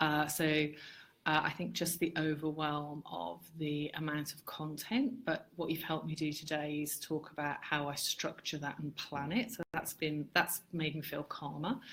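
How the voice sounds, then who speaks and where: A woman with a very deep, low pitch speaks in an English Midlands accent. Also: ordinary pitch variation, moderate pace. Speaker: marketing consultant, business owner. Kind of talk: interview chat. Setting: Facebook live video. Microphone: poor quality live stream audio.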